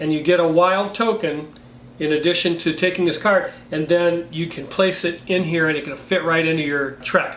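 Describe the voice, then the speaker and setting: Amid noticeable background noise and audible room echo, a man with a high pitch speaks at a moderate pace. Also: ordinary pitch variation. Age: 60s. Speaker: board game reviewer. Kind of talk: casual game review. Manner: animated.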